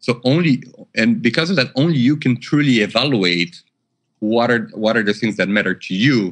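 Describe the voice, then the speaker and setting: A man with a non-native accent talks at a moderate pace and medium pitch with ordinary pitch variation over a quiet background. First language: not English. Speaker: MBA alumnus. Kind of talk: interview. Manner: halting, many fillers and repeats.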